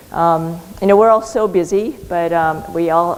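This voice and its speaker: Noticeable background noise behind a woman's fairly low pitch. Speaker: physician and clinical researcher. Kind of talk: conference talk.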